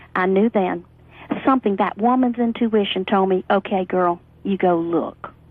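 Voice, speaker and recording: A woman speaks in a plain, everyday voice at a moderate pace. Her intonation is lively. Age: 40s. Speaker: network marketer. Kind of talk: interview testimony.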